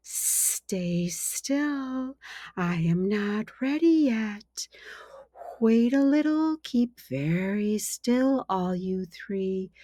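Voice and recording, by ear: In a put-on character voice that sounds female, the speaker goes very slowly at a medium pitch, with a hissing quality.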